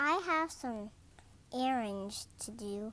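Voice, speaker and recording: A woman speaks in a put-on character voice. Her pitch is fairly high and her intonation lively. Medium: read story. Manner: gentle.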